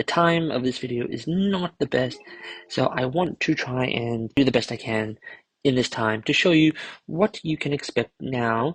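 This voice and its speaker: A soft-spoken man talks at a moderate pace with a medium pitch. The sound is dry and close with no echo. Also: ordinary pitch variation. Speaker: toy collector YouTuber. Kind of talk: unboxing video. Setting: at home late at night.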